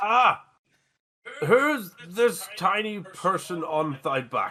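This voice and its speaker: Delivered in a put-on character voice, the speech sounds robotic, sits at a middle pitch and moves very slowly. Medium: actual play. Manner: blunt, deadpan, slightly archaic.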